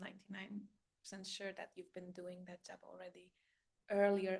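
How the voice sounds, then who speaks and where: A woman with a Polish accent speaks in a monotone, flat intonation. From Poland. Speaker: life coach and spiritual guide. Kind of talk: casual monologue. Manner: halting with fillers.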